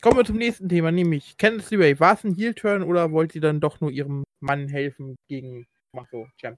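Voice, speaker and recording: A man with a normal speaking voice, fairly high in pitch, talks at a fairly quick pace with lively intonation and big swings in loudness. The sound is dry and close, with no echo. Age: 20s. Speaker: wrestling podcast host. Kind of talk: casual chat.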